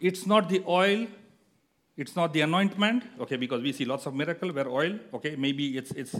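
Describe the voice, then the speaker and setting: Lively intonation marks a man's moderately paced speech. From India. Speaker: guest preacher. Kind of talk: sermon. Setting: church. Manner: halting.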